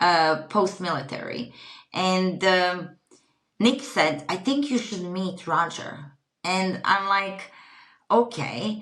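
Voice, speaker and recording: A woman with a Croatian accent and lively intonation, very slow, with long, frequent pauses and audible room echo. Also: medium pitch for a woman. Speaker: retreat company founder. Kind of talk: podcast interview.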